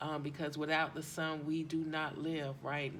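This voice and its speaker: The speech moves at a fairly slow pace. Audible room echo surrounds it. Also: woman. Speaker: tarot and chakra reader. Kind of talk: spiritual card reading. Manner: hesitant, many ums; loud.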